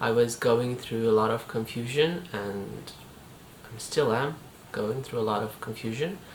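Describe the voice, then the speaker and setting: A woman speaks at a very deep, low pitch. Noticeable background noise can be heard. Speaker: fitness vlogger and artist. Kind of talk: casual talk to camera. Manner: hesitant, reflective.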